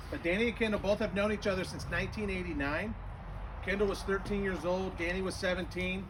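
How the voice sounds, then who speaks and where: A loud, high-pitched man speaks at a very fast pace in a monotone, flat intonation, with audible room echo and noticeable background noise. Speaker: wedding officiant. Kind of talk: wedding ceremony speech. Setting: outdoors in a backyard, also streamed on Zoom.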